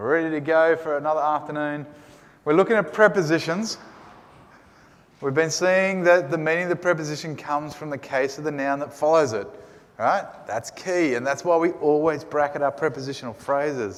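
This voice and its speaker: Talking at a fairly quick pace in an Australian accent, a man has a fairly high pitch with ordinary pitch variation. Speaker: Greek teacher. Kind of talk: lecture.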